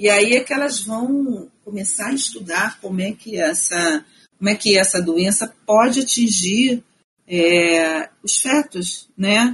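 Her voice somewhat breathy and medium in pitch, a woman speaks at a very slow pace with lively intonation. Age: 50s. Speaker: historian and researcher. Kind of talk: interview, explaining history.

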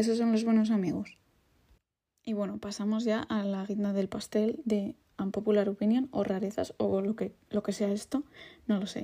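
A woman at medium pitch talks at a moderate pace, her tone dark and mellow, somewhat breathy, with fairly even intonation. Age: 20s. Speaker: podcast host, teacher. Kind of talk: casual monologue.

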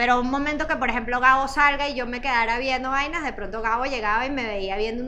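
This woman's high-pitched voice has a bright, sharp tone and ordinary pitch variation, with audible room echo. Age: 40s. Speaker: podcast host and journalist. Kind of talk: casual chat.

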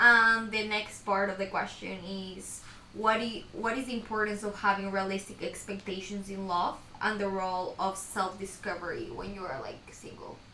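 The speech comes in a Spanish accent with monotone, flat intonation and big swings in loudness. Audible room echo and noticeable background noise fill the recording. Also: woman, medium pitch for a woman, moderate pace. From Ecuador. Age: 20s. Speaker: podcast host, student. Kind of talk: casual chat.

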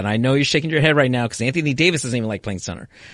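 In a dry, close sound with no echo and a quiet background, a man speaks at a medium pitch with ordinary pitch variation. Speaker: sports journalist. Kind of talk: casual chat. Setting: studio. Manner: joking.

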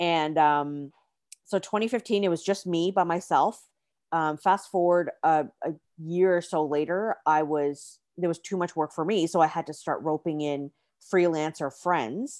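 Speaking fairly slowly against a quiet background, a woman with a Canadian accent uses a normal speaking voice at a fairly low pitch with ordinary pitch variation, the sound dry and close with no echo. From Canada. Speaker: entrepreneur, marketing agency owner. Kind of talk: casual interview.

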